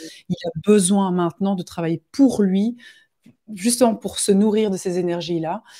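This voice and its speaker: Speaking at a fairly slow pace, a woman with a dark, mellow tone and medium pitch keeps her intonation fairly even while her loudness swings widely. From Belgium. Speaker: medium and spiritual guide. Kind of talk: live interview.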